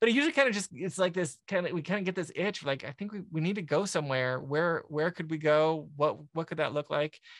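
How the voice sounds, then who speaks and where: A man speaks at a very fast clip with hardly any pauses, his pitch high for a man. His pitch moves in an ordinary way, over a quiet background. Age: 40s. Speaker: serial entrepreneur and software founder. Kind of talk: casual interview conversation. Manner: halting, many repetitions and fillers.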